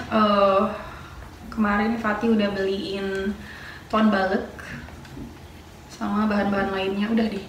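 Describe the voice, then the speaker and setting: A woman speaks at a medium pitch and a fairly slow pace, with long, frequent pauses and a flat, monotone intonation. Audible room echo and noticeable background noise surround her voice. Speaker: vlogger. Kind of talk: casual cooking vlog.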